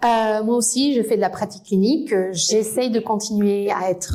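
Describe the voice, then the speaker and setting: With a slight Spanish accent, a woman speaks at a moderate pace and with ordinary pitch variation, amid noticeable background noise. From Spain. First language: Spanish (speaking French). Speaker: physiotherapist and researcher. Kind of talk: conference lecture. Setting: lecture hall with audience.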